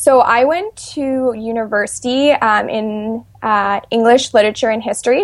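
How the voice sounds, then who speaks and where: This is a plain, everyday voice. It has ordinary pitch variation. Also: woman. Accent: Canadian. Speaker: children's author and policy analyst. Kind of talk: interview.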